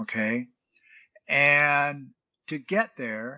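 With an American accent, a man of fairly high pitch talks in an unremarkable speaking voice. His intonation is lively. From United States. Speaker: mentor and UN peace ambassador, Navy veteran. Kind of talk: interview.

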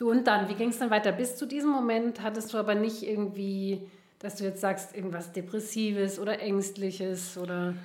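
With fairly even intonation, a woman talks at a medium pitch and a moderate pace amid noticeable background noise and audible room echo. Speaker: podcast host, therapist. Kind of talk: interview conversation. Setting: in-person, coaching room.

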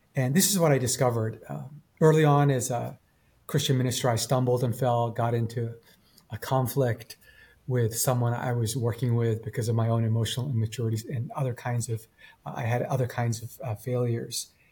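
With a Canadian accent, a man talks at a fairly quick pace in a dark, mellow, somewhat breathy tone with fairly even intonation. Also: medium pitch for a man. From Japan, raised in Canada from age eight. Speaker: pastor and author. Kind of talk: interview storytelling.

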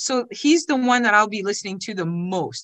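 A woman's fairly quick delivery with very wide pitch swings. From Ottawa, Ontario, Canada. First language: French. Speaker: financial services marketing director, business owner. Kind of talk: casual interview conversation.

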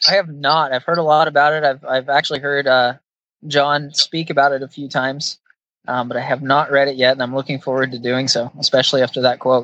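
The voice has a bright, sharp tone and an American accent, moving at a fairly quick pace in a monotone, flat intonation with a dry, close sound and no echo. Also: man, fairly high pitch for a man. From central Washington State, rural farm. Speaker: HR services company employee. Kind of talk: casual interview chat.

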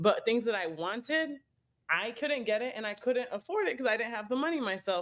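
With an American accent, a woman speaks fairly quickly in a plain, everyday voice. Her pitch is fairly high and her intonation lively. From US Midwest, Chicago. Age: 20s. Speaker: marketing agency co-owner. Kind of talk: interview. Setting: remote call.

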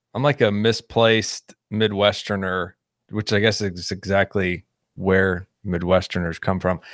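A man with an American accent and an unremarkable speaking voice, fairly low in pitch, fairly slow and fairly even in intonation, on a very clean, dry, close recording with a silent background and no echo. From Texas, Houston suburbs. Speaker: nonprofit director, men's ministry leader. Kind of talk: casual interview chat.

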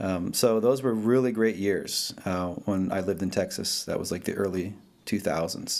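A man with an American accent speaks at a moderate pace and a fairly low pitch. He has an ordinary speaking voice with ordinary pitch variation. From northern New Jersey. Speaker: jazz guitarist and music professor. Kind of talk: interview. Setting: video call.

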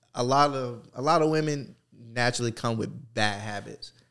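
A man speaks at a fairly slow pace in a medium pitch with lively intonation. The recording is very clean, with a silent background. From New Jersey. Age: 30s. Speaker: fitness gym owner and ex-fighter. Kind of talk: casual chat.

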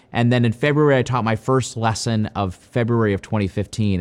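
This man speaks at a medium pitch. His pace is fairly quick. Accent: Midwestern American. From US Midwest, Ohio. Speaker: golf coach. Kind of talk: interview answers.

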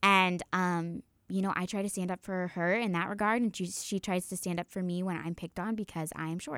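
A woman with a plain, everyday voice speaks at a fairly quick pace with hardly any pauses, her medium pitch following fairly even intonation. The sound is dry and close with no echo, on a very clean recording with a silent background. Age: 20s. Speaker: college student and resident assistant. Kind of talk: casual interview chat.

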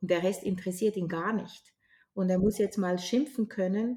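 A woman talks at a moderate pace and medium pitch. Her tone is dark, mellow and somewhat breathy, with fairly even intonation. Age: 60s. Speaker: grief counsellor and trainer. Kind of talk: interview.

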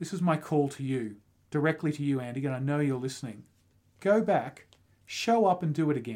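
A man with an Australian accent talks at a fairly quick pace, his fairly high voice full of lively intonation. The recording is very clean, with a silent background. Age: 40s. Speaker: running podcast co-host. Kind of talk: casual chat.

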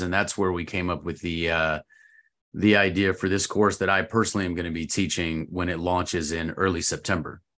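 Against a quiet background, a man with a very deep, low pitch and a bright, sharp tone keeps his intonation fairly even. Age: 40s. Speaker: retired army officer and course instructor. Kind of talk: casual chat.

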